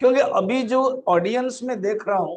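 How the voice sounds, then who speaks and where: A man's voice with ordinary pitch variation. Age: 60s. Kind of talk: religious discourse. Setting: temple hall with live audience.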